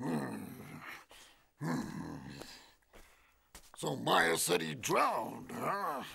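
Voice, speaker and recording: In a cartoonish character voice, a man speaks at a very slow pace with medium pitch and long, frequent pauses. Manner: hesitant, hemming.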